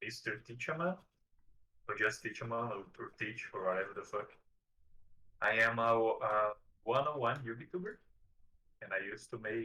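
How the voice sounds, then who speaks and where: Leaving long, frequent pauses, a man speaks at medium pitch in a bright, sharp tone. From southern Brazil. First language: Portuguese. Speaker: video creator about a card game. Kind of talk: interview. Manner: halting.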